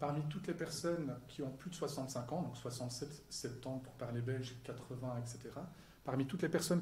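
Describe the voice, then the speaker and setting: Somewhat breathy voice with a dark, mellow tone, a fairly quick pace and audible room echo. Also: man. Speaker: psychology professor. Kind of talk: lecture. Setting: stage with audience. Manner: fast.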